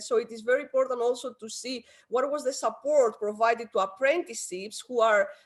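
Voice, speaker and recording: In a Greek accent, a woman talks at a fairly quick pace and a high pitch. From Greece. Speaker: education policy expert. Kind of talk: conference talk.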